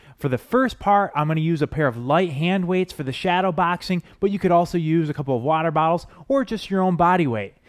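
Here a man speaks at a moderate pace with lively intonation. The background is quiet. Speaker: fitness trainer. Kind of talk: workout instruction intro. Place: studio. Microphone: headset.

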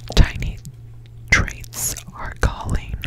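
The voice is a soft-spoken whisper. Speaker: beauty vlogger. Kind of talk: casual vlog chat. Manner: close soft ASMR whisper. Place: home room. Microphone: phone near.

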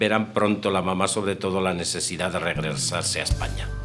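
A man speaks at a moderate pace with clear music playing in the background. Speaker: biographer interviewed in documentary. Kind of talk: interview answer.

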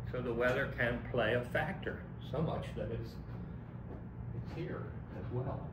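Noticeable background noise runs under this recording. A man with an American accent speaks at a very slow pace. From US Northeast (Philadelphia). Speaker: college English instructor. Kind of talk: lecture. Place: classroom. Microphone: camera far.

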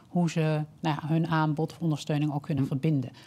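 A woman's very deep, low voice. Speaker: health scientist and social entrepreneur; guest. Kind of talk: webinar presentation. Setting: online webinar. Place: studio. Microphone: headset.

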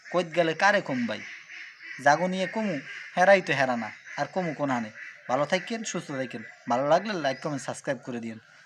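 A man talks with an unremarkable speaking voice. His pitch is fairly high and his intonation lively. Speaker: Islamic YouTube commentator. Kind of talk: video commentary addressed to viewers.

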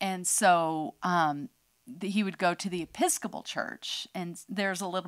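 A woman with an American accent has an unremarkable speaking voice, fairly low in pitch. Her intonation stays fairly even. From US West Coast (northern California). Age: 50s. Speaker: podcast co-host. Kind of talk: testimony. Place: studio. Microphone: studio mic.

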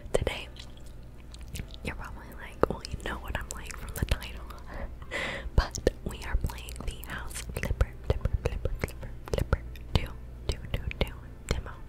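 A soft-spoken woman's whisper, relaxed in tone, at a moderate pace broken by long, frequent pauses. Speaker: ASMR gaming creator. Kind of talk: ASMR gaming let's play, whispered casual talk. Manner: whispered, soft, relaxed. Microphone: studio mic.

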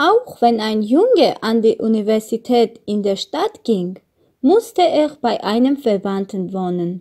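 Very slowly and with very wide pitch swings, a woman with an Armenian accent speaks in a dark, mellow tone. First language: Armenian (speaking German). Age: 20s. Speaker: German learner. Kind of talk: exam presentation.

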